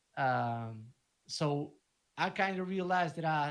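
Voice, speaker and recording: A man speaks with a Spanish accent. His pitch is fairly high. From Argentina. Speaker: DJ and music producer. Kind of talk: casual interview chat. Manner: halting, with repeated words.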